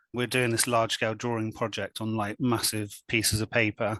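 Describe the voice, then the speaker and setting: A man's moderately paced speech in a monotone, flat intonation against a quiet background. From west of England, Swindon. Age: 40s. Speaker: artist. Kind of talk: casual interview chat.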